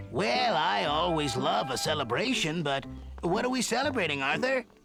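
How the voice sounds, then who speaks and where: In a cartoonish character voice, a man talks at a moderate pace with a fairly high pitch and very wide pitch swings over clear music in the background. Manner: smooth, salesman-like.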